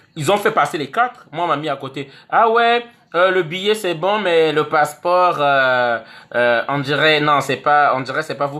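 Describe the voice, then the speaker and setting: Bright and sharp in tone, the voice moves with lively intonation. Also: man. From Congo. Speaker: online activist vlogger. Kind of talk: video monologue. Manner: animated.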